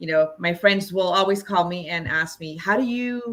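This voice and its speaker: A woman speaks with a Spanish accent. Her fairly low voice has a bright, sharp tone. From Los Angeles, US (born in Mexico, moved at seven). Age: 40s. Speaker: movement facilitator. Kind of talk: interview.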